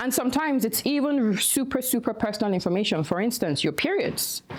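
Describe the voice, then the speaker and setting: Over noticeable background noise, a woman with a Nigerian accent speaks at a fairly quick pace with lively intonation. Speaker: activist and nonprofit director. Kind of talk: conference talk.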